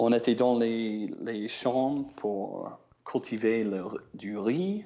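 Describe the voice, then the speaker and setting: A man with an American accent, medium pitch, and ordinary pitch variation, at a very slow pace. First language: English (speaking French). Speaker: traveling musician. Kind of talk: interview. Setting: phone call. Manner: halting.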